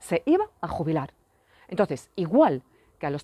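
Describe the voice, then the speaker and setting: On a very clean, dry, close recording with a silent background and no echo, a woman with a French accent speaks in a dark, mellow tone at a fairly low pitch. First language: French (speaking Spanish). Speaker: parent vlogger. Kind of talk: personal vlog rant. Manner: repetitive, emphatic.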